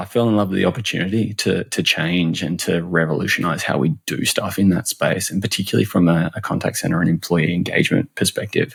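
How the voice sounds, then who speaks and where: Fairly quick speech from a man with a fairly low pitch and an Australian accent. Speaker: customer and employee experience expert. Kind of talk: podcast interview. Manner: animated; halting, many repeated words.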